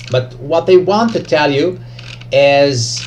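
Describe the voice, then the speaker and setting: With a Serbian accent, the speaker is heard in a space with audible room echo and noticeable background noise. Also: man. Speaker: trading educator YouTuber. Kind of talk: tutorial. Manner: halting, many fillers.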